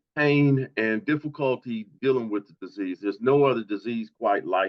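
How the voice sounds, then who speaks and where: At a fairly slow pace, a man talks at a medium pitch with ordinary pitch variation. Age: 60s. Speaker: patient advocate. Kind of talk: testimony. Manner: halting.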